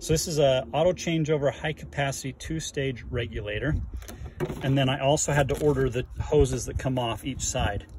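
A man at a fairly quick pace, dry sound with no echo, noticeable background noise underneath. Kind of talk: tutorial. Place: open country. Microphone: phone near.

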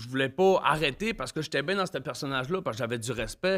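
Against a quiet background, a man with a Quebec accent talks at a fairly quick pace with lively intonation. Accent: Quebec French, Saguenay. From Saguenay, Quebec. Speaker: guest, former violent offender; podcast guest. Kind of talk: casual interview, personal storytelling. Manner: informal, slangy, animated. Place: studio. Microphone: studio mic.

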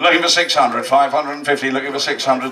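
A man is speaking. Loud background noise is heard behind him. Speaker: charity auctioneer. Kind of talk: live charity auction calling. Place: hall. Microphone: handheld.

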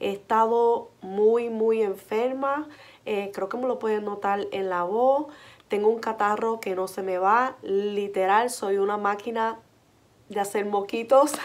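A woman speaks very slowly in a fairly high voice, her intonation fairly even. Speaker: vlogger and childcare worker; vlogger. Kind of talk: casual vlog. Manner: warm, chatty. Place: home room. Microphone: phone near.

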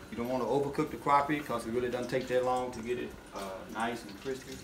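Fairly quick speech with music in the background. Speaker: fishing channel host cooking. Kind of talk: tutorial. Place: kitchen. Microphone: phone near.

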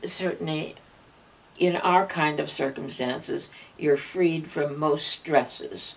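A very slow pace with long, frequent pauses and ordinary pitch variation. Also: woman. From Canada. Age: 80s+. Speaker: elder recalling her life. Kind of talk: interview answer. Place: home room. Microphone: camera far.

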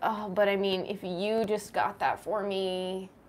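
Whiny and fairly slow, a woman uses a put-on character voice at a medium pitch.

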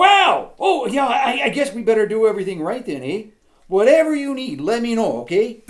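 At a moderate pace, a man performs a cartoonish character voice pitched extremely high. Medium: puppet show. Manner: friendly, hesitant, lots of "you know".

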